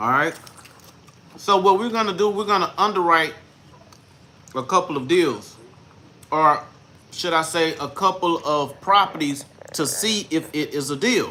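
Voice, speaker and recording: A man speaks at a high pitch with ordinary pitch variation and long, frequent pauses. Noticeable background noise runs beneath his voice. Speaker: real estate investor teaching deal analysis. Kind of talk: tutorial. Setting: livestream. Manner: slow, deliberate.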